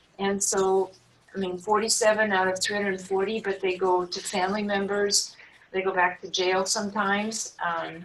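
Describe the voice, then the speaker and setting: A woman at a moderate pace in a monotone, flat delivery, over noticeable background noise. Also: medium pitch for a woman. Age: 70s. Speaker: nonprofit founder. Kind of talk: interview.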